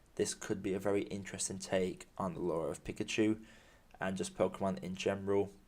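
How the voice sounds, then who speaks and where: The speaker is a man. He has a British accent. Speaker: film podcaster. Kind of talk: solo podcast monologue. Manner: halting.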